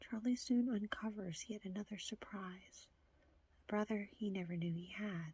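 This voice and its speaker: Soft-spoken and somewhat breathy, a woman speaks at a moderate pace with a dark, mellow tone and fairly even intonation, in a dry, close sound with no echo. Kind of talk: ASMR reading of video tape back covers.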